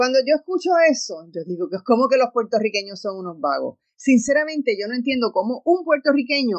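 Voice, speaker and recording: At a moderate pace, a woman talks in a high voice with very wide pitch swings. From Puerto Rico. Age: 60s. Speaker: radio host. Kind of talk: radio talk show monologue. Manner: animated.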